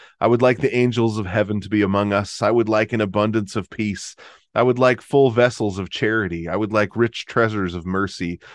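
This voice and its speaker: Fairly quick and fairly even in intonation, a man with an ordinary speaking voice and fairly low pitch speaks over a quiet background. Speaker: guest expert on early Celtic church. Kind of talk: casual interview conversation.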